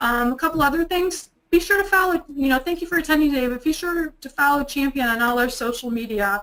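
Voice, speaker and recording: This voice races along at a very fast pace in a Midwestern US accent, with hardly any pauses. The tone is bright and sharp, the intonation lively. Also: woman, high pitch for a woman. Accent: US Midwest. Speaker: webinar presenter. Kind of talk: webinar presentation. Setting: online webinar.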